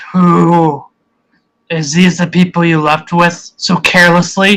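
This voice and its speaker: The put-on character voice sits at a middle pitch and moves at a fairly slow pace. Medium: actual play. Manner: sharp, wary.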